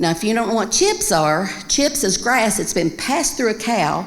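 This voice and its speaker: A woman speaks at a moderate pace with a Kentucky accent. Her intonation is lively, and there is noticeable background noise. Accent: Kentucky Southern American. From Winchester, Kentucky. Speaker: storyteller. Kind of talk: live storytelling performance.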